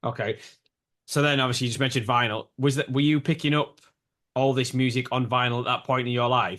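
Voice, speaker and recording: A man with a northern English accent speaks at a very fast pace. His intonation is monotone and flat, and the background is quiet. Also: medium pitch for a man, very even loudness. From northern England. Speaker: podcast host. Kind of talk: podcast interview.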